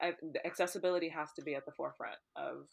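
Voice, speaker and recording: With vocal fry and fairly even intonation, a woman speaks fairly quickly at a fairly low pitch. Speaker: student and activist organizer. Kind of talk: casual chat.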